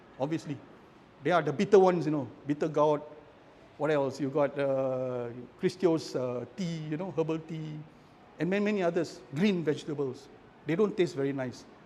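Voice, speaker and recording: Speaking at a moderate pace, a man has a fairly high pitch and a dark, mellow tone with ordinary pitch variation. He leaves long, frequent pauses. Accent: Malaysian. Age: 60s. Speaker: architect, cancer survivor. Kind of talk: casual talk in book club sharing.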